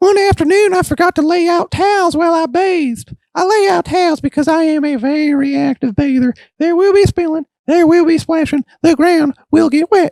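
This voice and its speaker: In a squeaky put-on character voice, a man speaks at an extremely high pitch and a moderate pace. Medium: solo performance. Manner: rambling, chatty.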